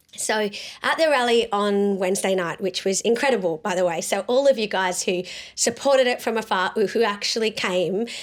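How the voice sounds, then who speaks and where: Here is a woman with an Australian accent. Her voice is medium in pitch and animated in tone. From South Australia. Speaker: pro-life activist and show host. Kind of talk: political commentary vlog.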